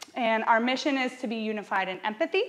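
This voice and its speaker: A woman speaks loudly. Her pitch variation is ordinary. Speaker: hospice community educator. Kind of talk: lecture. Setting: stage with audience. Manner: loud, projecting; fast.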